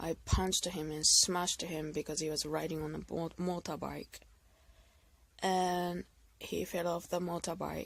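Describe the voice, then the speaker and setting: A woman with a non-native accent speaks slowly-ish at a fairly low pitch, fairly slow in pace. Her intonation is monotone and flat on a very clean recording with a silent background. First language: not English. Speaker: video blogger, abuse survivor. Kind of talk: personal testimony monologue. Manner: halting, self-correcting.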